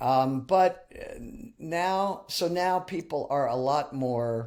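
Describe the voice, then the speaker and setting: On a very clean recording with a silent background, a man with an American accent speaks with ordinary pitch variation. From New Jersey. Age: 60s. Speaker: songwriter and musician. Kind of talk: interview. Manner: halting.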